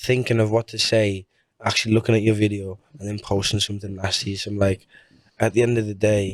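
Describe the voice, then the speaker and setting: In a northern English accent, a man talks at a fairly quick pace with a fairly low pitch and a monotone, flat delivery, on a very clean recording with a silent background. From Portugal, raised in Carlisle. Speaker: singer and busker. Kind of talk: interview answer. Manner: casual, chatty.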